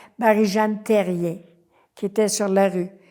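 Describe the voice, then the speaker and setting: A woman speaks at a medium pitch with a dark, mellow tone and fairly even intonation. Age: 80s+. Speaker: community activist. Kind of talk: oral history interview. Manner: hesitant, many fillers.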